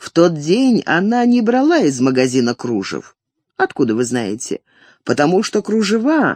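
Someone reads aloud in a natural voice. Behind the reading, the background is quiet.

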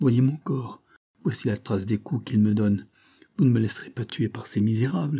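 In an unforced reading voice, the speaker shows ordinary pitch variation over a quiet background.

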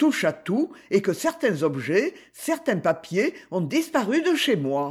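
Someone is reading aloud. The delivery is in a natural voice.

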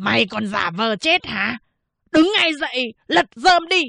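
Shouting in a put-on character voice, a woman goes high in pitch with very wide swings, sounding raspy and hoarse at a fairly slow pace. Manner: shouting, furious, commanding.

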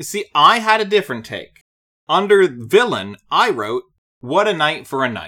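Loud and bright with a sharp tone, the voice makes very wide pitch swings at a moderate pace in a very clean recording with a silent background. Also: man, high pitch for a man. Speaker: podcast co-host. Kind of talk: casual chat.

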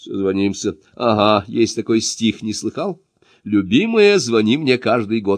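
It is plain reading aloud over a quiet background.

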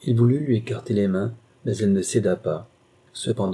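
The clip consists of plain reading aloud.

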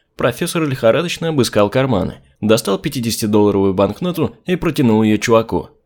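The voice is reading aloud in a natural voice. Its intonation is lively.

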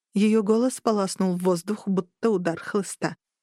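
The reading voice is unforced, its intonation fairly even, with a quiet background.

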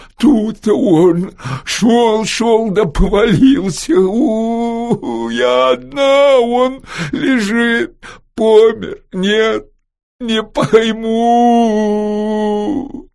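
A man's put-on character voice, high-pitched and very slow. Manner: distressed, confused.

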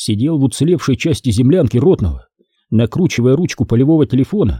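With a quiet background, the unforced reading voice has lively intonation.

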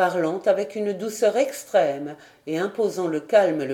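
Simply a natural reading voice

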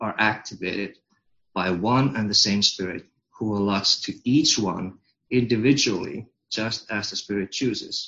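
With a Finnish accent, a man speaks at a fairly slow pace in a fairly low pitch. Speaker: congregation member reading scripture. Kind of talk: scripture reading.

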